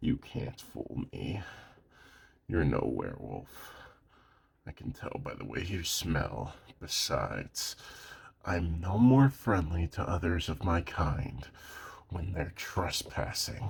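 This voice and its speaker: A man puts on a character voice with a very deep, low pitch. He talks fairly slowly, with long, frequent pauses. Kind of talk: audio roleplay. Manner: threatening, gruff.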